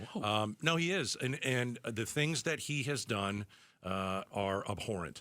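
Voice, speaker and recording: A man with a plain, everyday voice speaks in a medium pitch with lively intonation. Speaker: radio talk show host. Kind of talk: radio talk show conversation. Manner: casual, conversational.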